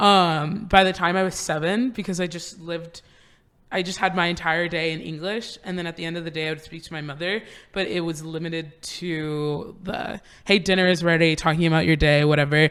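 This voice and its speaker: In an American accent, a woman talks at a fairly quick pace with a fairly low pitch. Her intonation stays fairly even, though her loudness swings widely. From US, Florida (Apopka, Orlando area). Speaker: UX designer and entrepreneur. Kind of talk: casual chat. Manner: casual, filler-heavy.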